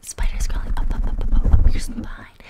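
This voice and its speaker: At a moderate pace, a woman speaks in a whisper. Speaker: ASMR creator. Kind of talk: soft-spoken ASMR intro chat. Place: home room. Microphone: studio mic.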